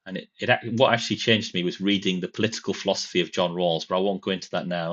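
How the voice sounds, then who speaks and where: A man's very deep, low voice in a northern English accent, with fairly even intonation. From northern England. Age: 40s. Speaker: political commentator, former lecturer. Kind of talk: live stream commentary. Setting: live stream. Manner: hesitant, many fillers.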